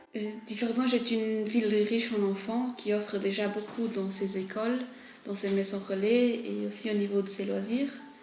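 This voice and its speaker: Noticeable background noise and audible room echo surround a woman who speaks in a flat monotone at a medium pitch and moderate pace. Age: 20s. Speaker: local political candidate. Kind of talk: campaign statement. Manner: hesitant, many fillers.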